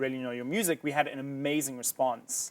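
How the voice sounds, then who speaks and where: In a South African accent, a man talks at a moderate pace and fairly high pitch with monotone, flat intonation. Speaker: musician and band founder. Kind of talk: interview. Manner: hesitant, many fillers.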